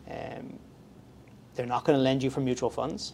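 In an Irish accent, a man speaks at a moderate pace. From Ireland. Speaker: mortgage broker. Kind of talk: casual interview.

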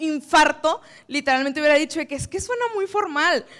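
A woman with a high pitch talks at a fairly quick pace in a raised, projected voice. Her tone is animated, bright and sharp. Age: 20s. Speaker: public relations professional. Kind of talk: talk to a live audience.

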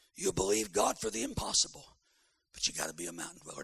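Here a man talks at a very fast pace. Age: 60s. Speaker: evangelist preacher. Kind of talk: sermon. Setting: camp meeting with live audience.

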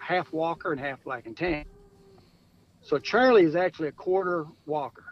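A high-pitched man with an American accent. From Michigan. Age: 60s. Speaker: coon hunter. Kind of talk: interview.

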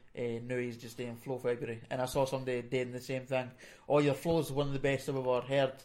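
A man speaks at a very fast pace and medium pitch. His intonation is monotone and flat. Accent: Fife. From Scotland, Fife. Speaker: podcast co-host. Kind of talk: casual chat. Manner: mumbling, barely moves mouth.

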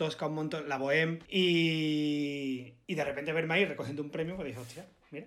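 A man talks at a very fast pace with an Andalusian accent. His pitch is fairly high. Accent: Andalusian (Málaga). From Málaga, Andalusia, Spain. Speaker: actor. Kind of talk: casual chat.

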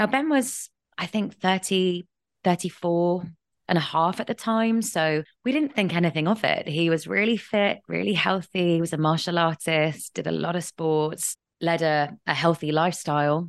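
Speaking with an English accent, a woman talks at a moderate pace with a fairly low pitch and ordinary pitch variation, in a dry, close sound with no echo. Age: 30s. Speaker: writer and grief advocate. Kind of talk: interview testimony.

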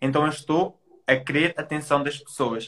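A man talks in a bright, sharp tone at a fairly high pitch. He keeps a moderate pace. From Portugal, Trás-os-Montes. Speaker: digital entrepreneur. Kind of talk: casual interview. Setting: Instagram live.

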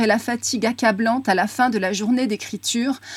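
A woman speaks in a high voice. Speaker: radio host. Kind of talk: interview.

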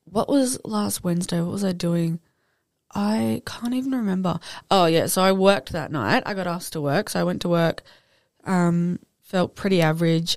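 Spoken at a moderate pace with an Australian accent, the voice swings very widely in pitch. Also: woman, fairly low pitch for a woman. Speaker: podcast co-host. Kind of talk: casual chat.

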